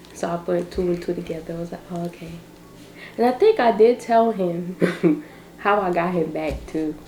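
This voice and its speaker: A woman at a fairly low pitch with ordinary pitch variation, a moderate pace, and long, frequent pauses, over noticeable background noise. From Barbados. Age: young. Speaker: vlogger. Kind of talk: casual chat.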